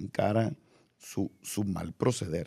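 A man's fairly low, dark, mellow voice at a very slow pace, set against a quiet background. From Mexico. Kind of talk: casual interview. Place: studio. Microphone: studio mic.

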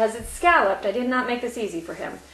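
A woman's voice with ordinary pitch variation carries audible room echo over light background noise. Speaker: craft product maker demonstrating. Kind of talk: conversational product demonstration. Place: home room. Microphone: camera far.

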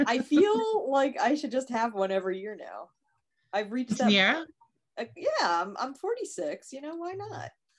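A woman's high voice at a moderate pace, with very wide pitch swings and big swings in loudness, over a quiet background. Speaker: co-host. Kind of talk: casual chat. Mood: playful, laughing. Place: home room. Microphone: video call.

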